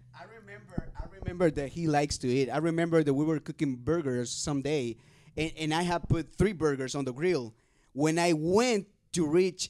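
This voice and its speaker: Moderately paced, a man speaks with a fairly high pitch and ordinary pitch variation. The recording is very clean, with a silent background. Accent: Spanish. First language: Spanish. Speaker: youth podcast host. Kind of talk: casual chat.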